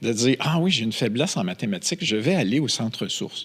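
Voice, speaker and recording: An animated voice with a Quebec accent, moderate pace and very wide pitch swings. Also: man. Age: 60s. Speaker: film producer and entrepreneur. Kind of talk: casual interview chat. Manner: animated storytelling.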